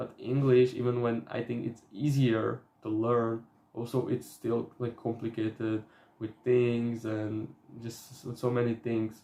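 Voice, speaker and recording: Speaking fairly slowly with a Slovak accent, a man uses a medium pitch and a dark, mellow tone in a monotone, flat intonation. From Slovakia. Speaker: self-improvement youtuber. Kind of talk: casual vlog talk. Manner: halting, with fillers.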